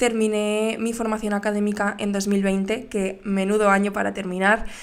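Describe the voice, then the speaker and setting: A woman talks at a moderate pace with medium pitch in a monotone, flat intonation. Audible room echo surrounds her voice. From Valencia, Spain. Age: 20s. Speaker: podcast host, graphic designer. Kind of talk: casual monologue. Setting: home studio, on camera. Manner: hesitant, many fillers.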